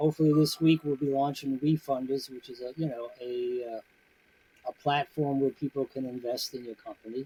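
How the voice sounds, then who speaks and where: A dark, mellow, somewhat breathy tone with fairly even intonation and a dry, close sound with no echo. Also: man. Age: 70s. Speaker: CBD business owner. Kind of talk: casual chat. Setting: podcast interview. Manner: conversational, many filler words.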